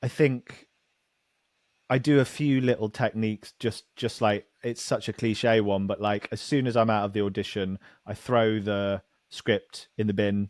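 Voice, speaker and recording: A man with a British accent, fairly low in pitch, at a fairly slow pace with fairly even intonation, in a dry, close sound with no echo and a very clean recording over a silent background. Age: 30s. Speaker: actor. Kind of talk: casual chat.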